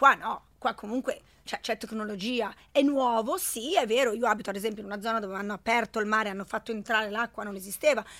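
Spoken at a very fast pace in a bright, sharp tone, this voice keeps a fairly even intonation while its loudness swings widely, all on a very clean recording with a silent background. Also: woman, fairly high pitch for a woman. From Italy, schooled in Switzerland from 14. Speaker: network marketing entrepreneur. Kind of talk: interview. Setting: studio.

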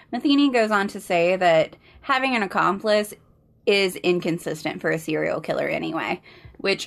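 A woman with an American accent speaks at a moderate pace with lively intonation. Hers is an unremarkable speaking voice of medium pitch. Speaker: podcast co-host. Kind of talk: casual chat and true crime storytelling.

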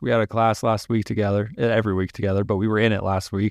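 Against a quiet background, a man with an unremarkable speaking voice talks at medium pitch in an American accent, the sound dry and close with no echo. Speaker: podcast guest. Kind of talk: casual chat.

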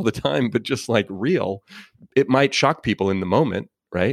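A man with an American accent speaks fairly quickly with ordinary pitch variation, in a very clean, dry, close recording with no echo and a silent background. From Oakland, California. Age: 40s. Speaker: motivational speaker and author. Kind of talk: interview.

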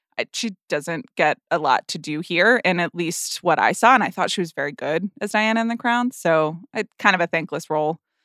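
Recorded very cleanly against a silent background, dry and close with no echo, a woman speaks at a moderate pace with a bright, sharp tone, fairly low pitch and lively intonation. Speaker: film podcast host. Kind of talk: casual chat.

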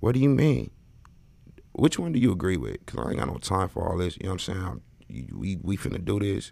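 A man's very deep, low voice with an American accent, dark and mellow in tone, with vocal fry, very wide pitch swings and a very fast pace. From Los Angeles. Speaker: podcast host. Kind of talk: live-streamed casual chat. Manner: animated.

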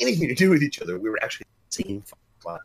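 There is vocal fry in this man's fairly high-pitched voice. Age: 50s. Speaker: game developer. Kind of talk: casual chat.

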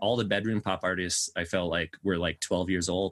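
Here a man with an American accent uses a normal speaking voice at a fairly quick pace. The sound is dry and close with no echo, over a quiet background. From Colorado, US (Aurora). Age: 30s. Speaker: musician, songwriter. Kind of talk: casual chat. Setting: video call.

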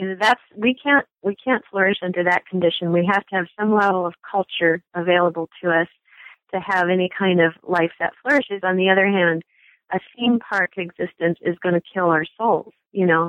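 Using an unremarkable speaking voice, a woman talks at medium pitch with ordinary pitch variation. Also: moderate pace. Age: 60s. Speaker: author. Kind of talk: interview.

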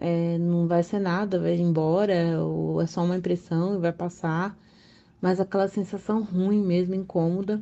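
Against a quiet background, a woman with a dark, mellow tone and fairly low pitch talks at a fairly slow pace in a flat monotone. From São Paulo, Brazil. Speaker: listener sharing a story. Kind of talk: recorded personal story.

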